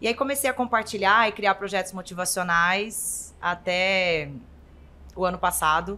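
This woman has an ordinary speaking voice at a medium pitch, with ordinary pitch variation. The recording is very clean, the background silent. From Brazil, interior of Goiás. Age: 30s. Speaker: nutritionist and influencer. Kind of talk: casual interview chat.

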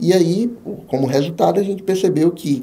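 With lively intonation, a man speaks at a moderate pace in a plain, everyday voice. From Bahia, Brazil (Jequié). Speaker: business support consultant and author. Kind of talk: podcast interview.

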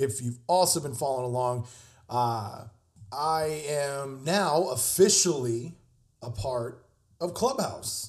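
The delivery is very slow and somewhat breathy. Its intonation stays lively. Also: man. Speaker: podcast host, chef. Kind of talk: casual monologue. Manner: casual, halting with fillers.

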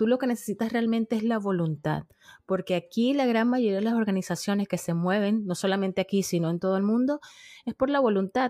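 A fairly high-pitched woman's voice with a dark, mellow tone, ordinary pitch variation and a fairly quick pace, dry and close with no echo, on a very clean recording with a silent background. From Venezuela, Margarita Island. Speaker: podcaster. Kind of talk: interview conversation.

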